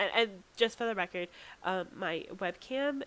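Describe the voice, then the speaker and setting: A woman with a fairly high pitch speaks at a moderate pace, her voice making very wide pitch swings. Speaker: YouTuber. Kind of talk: video commentary. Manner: casual, with many fillers.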